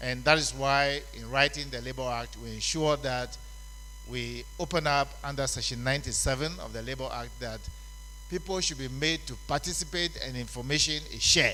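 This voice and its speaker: There is audible room echo around a man's voice. His loudness swings widely. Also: moderate pace. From Ghana. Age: 70s. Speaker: conference speaker, labour law expert. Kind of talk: conference speech.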